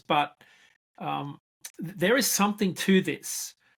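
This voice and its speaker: Someone speaks at a fairly slow pace with an Australian accent. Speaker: freight market analyst. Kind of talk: interview.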